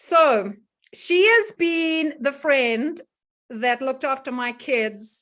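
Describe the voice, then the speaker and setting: A woman speaks in an animated tone with a South African accent. Her intonation is lively. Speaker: wellness educator and host. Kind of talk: casual online presentation. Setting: video call.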